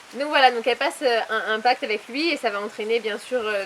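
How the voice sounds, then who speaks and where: A woman speaks at a moderate pace with a fairly high pitch and ordinary pitch variation. Noticeable background noise runs under her voice. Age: 20s. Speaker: author and publisher. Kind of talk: interview.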